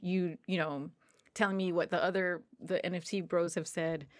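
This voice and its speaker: A woman with an American accent talks at a moderate pace in a plain, everyday voice, fairly low pitched with ordinary pitch variation. The recording is very clean, with a silent background. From New Jersey, US. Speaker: tabletop game master. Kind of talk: casual chat.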